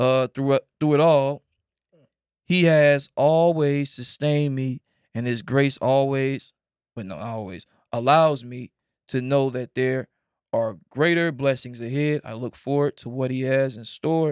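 A man at a medium pitch talks in an ordinary speaking voice at a fairly slow pace, with fairly even intonation and big swings in loudness. The sound is very clean, dry and close, with no echo and a silent background. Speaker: podcast host.

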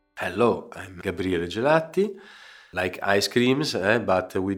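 A man with an Italian accent, lively intonation and a moderate pace, in a very clean recording with a silent background. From Genoa, Italy. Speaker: pebble mosaic artist. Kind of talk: interview. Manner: halting.

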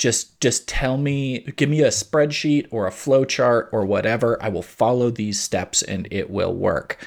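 A man talks at a fairly slow pace with hardly any pauses, using an ordinary speaking voice of medium pitch and ordinary pitch variation. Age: 40s. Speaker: podcast host. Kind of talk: casual chat.

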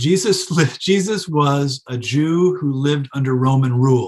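A man with an American accent and a fairly high pitch. His voice is somewhat breathy, with ordinary pitch variation. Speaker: philosophy professor. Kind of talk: interview. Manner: hesitant.

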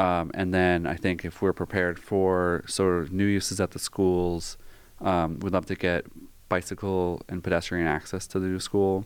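This man speaks in a very deep, low voice with monotone, flat intonation. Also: moderate pace, very clean recording, silent background. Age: 40s. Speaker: city planner. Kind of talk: casual interview. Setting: studio with camera.

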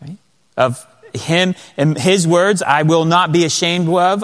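A man is speaking here. His voice is high-pitched. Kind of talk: conference teaching. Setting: church conference.

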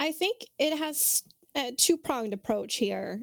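A woman speaks with lively intonation, her voice dry and close with no echo. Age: 20s. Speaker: Twitch streamer and tabletop RPG designer. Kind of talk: casual interview. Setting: video call.

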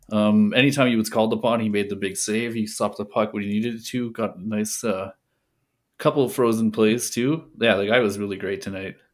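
Fairly low in pitch, this man has an unremarkable speaking voice with fairly even intonation and a fairly quick pace. The recording is very clean, with a silent background. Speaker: co-host. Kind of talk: casual sports chat.

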